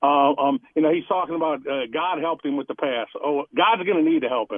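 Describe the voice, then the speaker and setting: With a plain, everyday voice, a man speaks at a fairly quick pace and fairly high pitch, his pitch varying in an ordinary way. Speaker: caller. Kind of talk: call-in talk radio. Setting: phone call.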